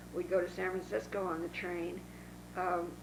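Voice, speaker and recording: Over noticeable background noise, a woman with an American accent speaks at medium pitch and a fairly slow pace. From Northern California, Dixon. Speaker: oral history interviewee. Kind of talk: oral history interview. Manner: halting.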